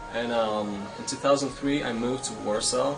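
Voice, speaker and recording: A man speaks with a Polish accent. Noticeable background noise and audible room echo surround him. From Poland (north, near Gdańsk). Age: 20s. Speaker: traveler. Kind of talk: interview. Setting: outdoors. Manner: halting.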